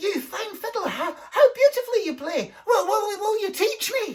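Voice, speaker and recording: In a put-on character voice, the speaker squeaks at an extremely high pitch and keeps a moderate pace. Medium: read story. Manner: stammering.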